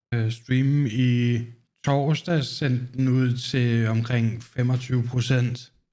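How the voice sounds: A man speaks slowly at a medium pitch, his tone dark and mellow with little pitch movement, on a very clean recording with a silent background.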